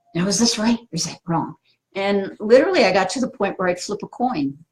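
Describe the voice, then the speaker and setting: Somewhat breathy, a woman of medium pitch speaks at a moderate pace. Her pitch swings very widely. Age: 60s. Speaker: spiritual teacher. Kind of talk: live stream talk answering viewer comments. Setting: Facebook live video. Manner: casual, filler-heavy.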